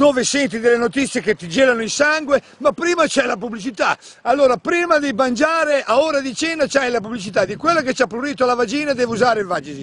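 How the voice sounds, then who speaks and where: Amid noticeable background noise, a man rattles along at a very fast pace with an extremely high pitch and lively intonation. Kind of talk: casual rant to camera. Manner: exasperated, ranting.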